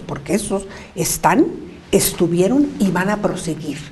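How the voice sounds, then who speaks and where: Lively in intonation, a woman speaks at a medium pitch and fairly slow pace amid audible room echo and noticeable background noise. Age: 70s. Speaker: women's rights activist. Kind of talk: interview.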